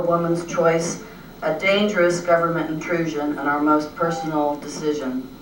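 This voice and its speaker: A woman with a fairly low pitch speaks at a moderate pace amid noticeable background noise and audible room echo. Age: 60s. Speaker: retired art teacher giving public testimony. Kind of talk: prepared testimony at a legislative hearing. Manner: formal.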